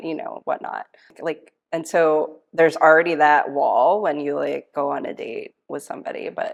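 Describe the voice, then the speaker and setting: Her loudness swings widely as a woman talks at a moderate pace. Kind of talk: casual conversation.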